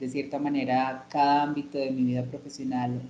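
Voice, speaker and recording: A woman with a very deep, low pitch speaks at a fairly slow pace in a monotone, flat intonation. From Colombia, Armenia, Quindío. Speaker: journalist and LGBT activist. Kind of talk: interview. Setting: video call. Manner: halting, many fillers.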